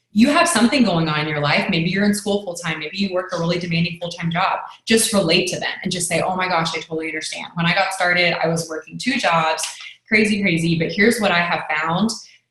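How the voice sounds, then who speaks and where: Over noticeable background noise, a woman talks at a very fast pace with a fairly low pitch and ordinary pitch variation. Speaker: network marketing team leader. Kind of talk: training talk.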